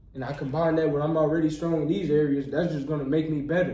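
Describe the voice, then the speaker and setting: A man's fairly high voice with an American accent, very fast pace and fairly even intonation, amid audible room echo and noticeable background noise. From Texas, near Houston. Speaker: medical student and YouTuber. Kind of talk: casual interview chat. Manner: many filler words.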